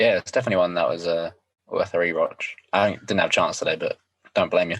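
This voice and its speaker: This man talks at a very fast pace. He has a southern English accent. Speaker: podcast co-host. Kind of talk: casual chat.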